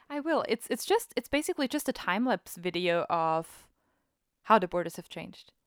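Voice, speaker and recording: A woman talks at a fairly high pitch and fairly quick pace, with very wide pitch swings. The sound is dry and close with no echo, in a very clean recording with a silent background. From Austria. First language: German. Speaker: podcast co-host. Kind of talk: casual chat.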